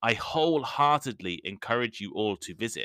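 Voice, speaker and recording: A man's bright, sharp voice in an English accent, with lively intonation, a moderate pace, a dry, close sound with no echo and a very clean recording with a silent background. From England, Midlands. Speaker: podcast host, English teacher. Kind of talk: educational podcast monologue. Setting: home recording with cheap microphone. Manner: clear, measured pace for learners.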